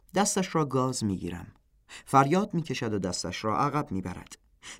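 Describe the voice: Simply plain reading aloud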